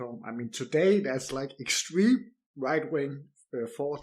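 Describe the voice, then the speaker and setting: With a Danish accent, a man whose voice is fairly high speaks at a moderate pace. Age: 30s. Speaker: podcast host. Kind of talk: interview. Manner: halting, repeats words.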